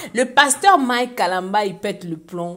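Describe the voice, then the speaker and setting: A woman talks with a Congolese accent. Her pace is very slow. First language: Lingala (speaking French). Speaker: online gossip and news commentator. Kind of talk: casual commentary reading social media comments.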